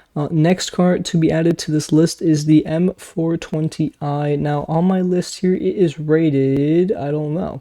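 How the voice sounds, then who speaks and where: Hardly pausing at all, the delivery proceeds at a fairly slow pace. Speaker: Roblox gaming YouTuber. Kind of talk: casual gaming commentary. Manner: quiet.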